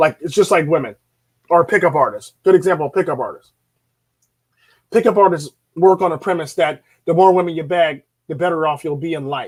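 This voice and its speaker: A man talks loudly in an animated tone at a fairly quick pace, with long, frequent pauses. His pitch is high, with ordinary pitch variation. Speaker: YouTube commentator on dating and men's issues. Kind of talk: solo vlog monologue.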